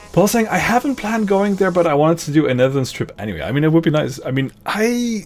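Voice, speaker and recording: Over music in the background, a man with a fairly high pitch speaks with very wide pitch swings. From Luxembourg, Dutch parents. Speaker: VTuber streamer. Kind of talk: casual live stream chat. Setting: live stream. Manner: rambling, many repetitions and restarts.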